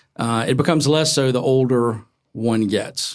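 A plain, everyday voice with an American accent and ordinary pitch variation comes through on a very clean recording with a silent background. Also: man. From North Carolina. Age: 50s. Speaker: novelist. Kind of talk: live conversation before a bookstore audience. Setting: bookstore event with audience.

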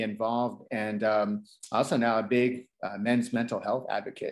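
A man speaks with an American accent. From Texas. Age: 30s. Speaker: DJ. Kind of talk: casual interview.

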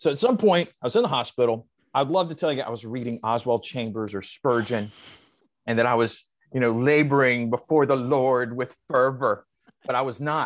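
A man's plain, everyday voice at medium pitch, with an American accent, a moderate pace and ordinary pitch variation. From US South. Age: 40s. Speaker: comedian. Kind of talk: casual chat.

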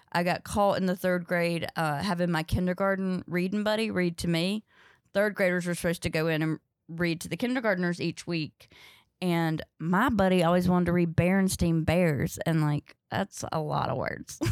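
This woman speaks at a moderate pace with a Southern US accent, fairly low pitch and fairly even intonation. The recording is very clean, dry and close, with a silent background and no echo. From North Carolina, US South. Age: 30s. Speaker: stand-up comedian. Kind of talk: casual chat. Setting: studio.

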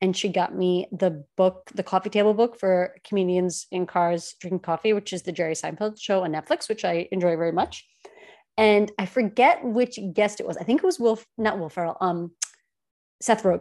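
A woman with a New York accent speaks at a moderate pace with ordinary pitch variation. Her tone is dark and mellow, and the background is quiet. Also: medium pitch for a woman. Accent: Staten Island. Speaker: podcast co-host. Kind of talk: casual chat. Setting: studio.

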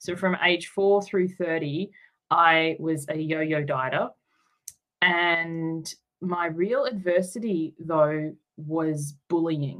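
Speaking very slowly with an Australian accent, a woman uses a fairly low pitch and fairly even intonation. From Tasmania, Australia. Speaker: life coach. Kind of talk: interview.

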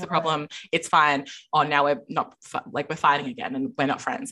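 A loud woman with an Australian accent, very deep and low in pitch, bright and sharp in tone, at a fairly quick pace with ordinary pitch variation. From Adelaide, South Australia. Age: 20s. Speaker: podcaster. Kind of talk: casual chat. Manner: loud, outgoing.

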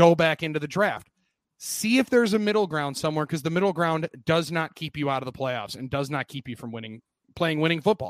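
A man with a fairly high voice and an American accent speaks with lively intonation. The sound is dry and close with no echo, on a very clean recording with a silent background. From US Upper Midwest, Milwaukee area, Wisconsin. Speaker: sports radio co-host. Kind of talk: casual chat.

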